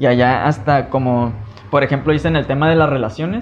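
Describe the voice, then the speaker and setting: A man speaks at a fairly high pitch with ordinary pitch variation. Noticeable background noise runs under his voice. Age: 30s. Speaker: podcast host. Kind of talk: casual chat.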